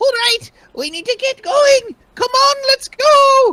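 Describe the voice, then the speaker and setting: This squeaky, put-on character voice has an extremely high pitch and a fairly slow pace. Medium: actual play. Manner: frantic.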